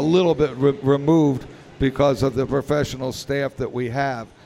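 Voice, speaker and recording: A man with fairly even intonation, against noticeable background noise. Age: 70s. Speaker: pinball industry executive. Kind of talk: interview. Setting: live at a convention with audience.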